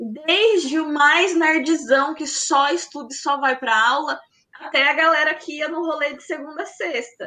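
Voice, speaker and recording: Using a raised, projected voice, a woman speaks high in pitch at a fairly slow pace, with ordinary pitch variation and big swings in loudness. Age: 20s. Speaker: math teacher. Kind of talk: casual interview.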